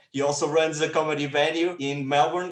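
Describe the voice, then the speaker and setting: A man with a normal speaking voice talks fairly quickly at a fairly high pitch. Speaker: podcast co-host. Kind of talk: podcast host intro.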